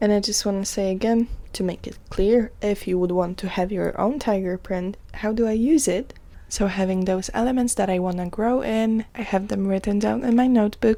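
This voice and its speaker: A woman speaks with a Polish accent and a dark, mellow tone. Her pitch is medium and her intonation fairly even. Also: moderate pace. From Poland. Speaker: podcast host. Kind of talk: casual self-care podcast monologue.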